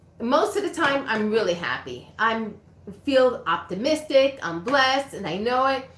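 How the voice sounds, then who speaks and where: A woman speaks in a high voice with lively intonation. Audible room echo surrounds her. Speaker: reiki practitioner. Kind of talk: livestream chat. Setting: livestream.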